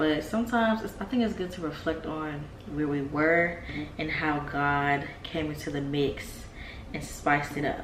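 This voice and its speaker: A woman's very deep, low voice with ordinary pitch variation, a moderate pace, audible room echo and noticeable background noise. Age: 20s. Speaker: vlogger and business owner. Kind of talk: casual vlog talk.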